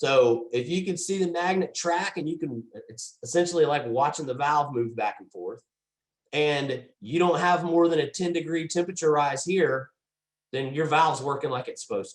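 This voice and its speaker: A loud man speaks at a moderate pace with a fairly high pitch. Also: ordinary pitch variation. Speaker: HVAC trainer. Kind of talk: training webinar.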